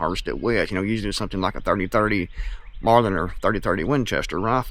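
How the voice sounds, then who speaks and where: A man with an Appalachian accent talks at a very fast pace. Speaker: YouTuber and author on self-reliance. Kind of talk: casual monologue to camera.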